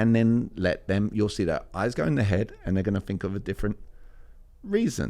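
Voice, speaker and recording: In a London accent, the speaker talks at a fairly quick pace with a dark, mellow tone. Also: man, fairly low pitch for a man, ordinary pitch variation. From East London, England. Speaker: communication coach. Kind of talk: interview answer.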